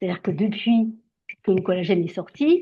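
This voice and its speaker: Somewhat breathy speech from a woman at medium pitch and a fairly quick pace. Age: 60s. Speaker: skincare brand distributor. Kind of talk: sales pitch. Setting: video call.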